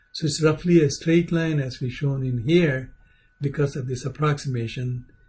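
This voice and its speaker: Somewhat breathy, a man speaks at a fairly slow pace with fairly even intonation. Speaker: aerospace engineering lecturer. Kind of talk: lecture.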